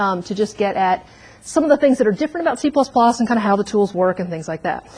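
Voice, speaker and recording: A woman talks at a very fast pace. Her fairly high voice has lively intonation. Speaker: university lecturer. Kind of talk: lecture.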